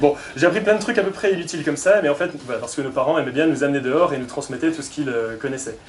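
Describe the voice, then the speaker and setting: Amid audible room echo and noticeable background noise, a man talks at a very fast pace. His voice is fairly high, with lively intonation. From southern France, Pyrénées-Orientales. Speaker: engineer and climate consultant, lecturer. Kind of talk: performed lecture (conférence gesticulée).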